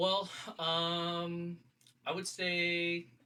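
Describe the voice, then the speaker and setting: A loud man with a high pitch and a bright, sharp tone. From Texas, Houston. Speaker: church member sharing faith story. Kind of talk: testimony. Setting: small cramped studio.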